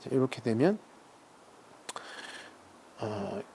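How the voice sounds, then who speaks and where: A man is speaking. His tone is calm. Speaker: seal carving and calligraphy artist. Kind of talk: casual talk-through of his craft while working, explaining terms. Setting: quiet workshop, close recording with stone grinding sounds. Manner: calm, soft-spoken, reflective.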